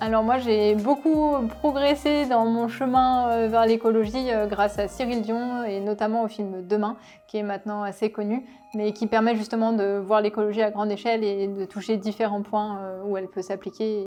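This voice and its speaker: At a moderate pace, a woman speaks with a fairly high pitch. Her intonation stays fairly even. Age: 20s. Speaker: business co-founder. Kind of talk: interview monologue. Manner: hesitant, many fillers.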